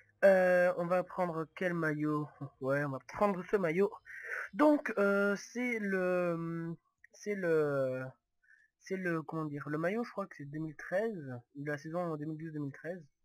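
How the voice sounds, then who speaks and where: Against a silent background on a very clean recording, a man speaks at a very slow pace with a high pitch. His pitch varies in an ordinary way, while his loudness swings widely. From Toulouse, southwest France. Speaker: gaming youtuber. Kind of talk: gameplay commentary. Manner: halting, many hesitations.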